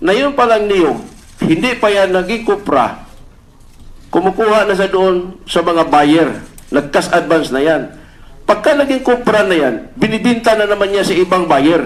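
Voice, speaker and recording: The man's voice is high-pitched, with lively intonation. His loudness stays very even. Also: moderate pace. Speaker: police officer testifying at senate hearing. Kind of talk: testimony. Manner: halting.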